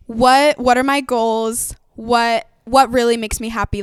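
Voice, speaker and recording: A woman with an unremarkable speaking voice, a fairly high pitch, ordinary pitch variation and a moderate pace. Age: young. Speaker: musical theatre performer. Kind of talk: interview.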